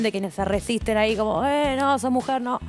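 A woman with an Argentine accent, fairly quick pace and ordinary pitch variation, with clear music in the background. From Argentina. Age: young. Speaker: football commentator. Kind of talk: interview answer. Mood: earnest, slightly troubled. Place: studio. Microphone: headset.

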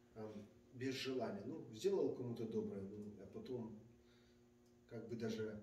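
The speech moves at a fairly slow pace. Audible room echo and light background noise surround it. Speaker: congregation member. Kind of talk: casual discussion. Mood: calm, reflective. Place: office.

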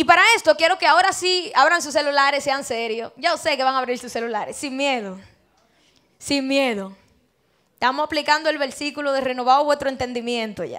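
A woman talks fairly quickly in a high, bright, sharp, animated tone with ordinary pitch variation. Her loudness swings widely against a quiet background. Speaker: preacher. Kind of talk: sermon. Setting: church. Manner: conversational, rhetorical questions to congregation. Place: church. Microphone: handheld.

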